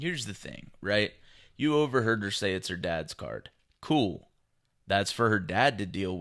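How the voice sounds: Over a quiet background, a natural reading voice moves with lively intonation.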